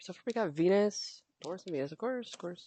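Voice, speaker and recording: At a fairly quick pace, a woman talks in an animated tone with ordinary pitch variation. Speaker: tarot reader. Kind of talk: tarot reading monologue. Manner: fast, stumbling; casual, animated.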